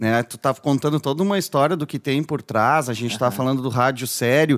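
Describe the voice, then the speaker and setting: At a fairly quick pace, a man with an unremarkable speaking voice talks at a medium pitch with ordinary pitch variation, the sound dry and close with no echo. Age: 40s. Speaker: podcast host. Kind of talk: casual interview. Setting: studio.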